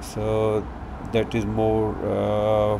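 Noticeable background noise surrounds a man talking in a fairly low voice. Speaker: walking tour guide. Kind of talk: casual tour narration. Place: street. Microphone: phone near.

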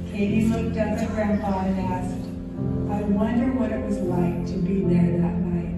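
A woman at a moderate pace, with loud music in the background and audible room echo. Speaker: storyteller narrator. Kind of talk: storytelling narration. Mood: warm, gentle, reverent. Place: stage.

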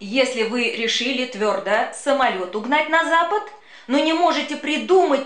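Over noticeable background noise, a woman with a high pitch speaks at a fairly slow pace. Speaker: actress. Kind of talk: humorous children's poetry reading.

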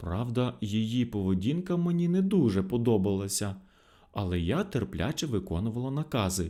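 The reading is delivered in an unforced voice.

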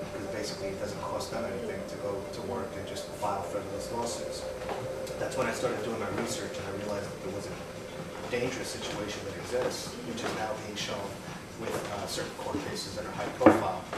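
A man talks at a very fast pace with audible room echo. Loud noise fills the background. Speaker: interview guest. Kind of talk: interview answer. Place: home room.

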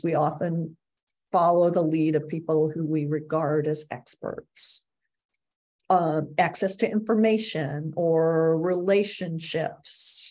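A woman talks at a very slow pace in a dark, mellow tone, her fairly low pitch moving with fairly even intonation. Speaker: agile coaching speaker. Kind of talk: webinar presentation. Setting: video call. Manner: casual, many filler words. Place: home room. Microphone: webcam.

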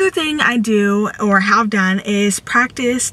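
A woman talks with ordinary pitch variation. The sound is dry, with no echo. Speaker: vlogger. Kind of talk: casual vlog chat with tips. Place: car. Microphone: phone near.

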